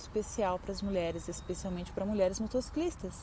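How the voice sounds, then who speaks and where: Ordinary pitch variation runs through a woman's somewhat breathy voice. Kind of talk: channel announcement to viewers.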